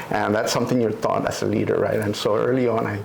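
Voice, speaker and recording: Noticeable background noise mixes with audible room echo in this recording. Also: man. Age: 60s. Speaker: retired politician. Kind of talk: interview. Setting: at home. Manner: halting.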